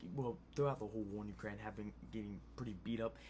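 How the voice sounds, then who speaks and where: A man speaks quietly. Audible room echo surrounds his voice. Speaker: news commentary youtuber. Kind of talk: casual news commentary. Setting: home at night. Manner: quiet, low volume; hesitant, many fillers.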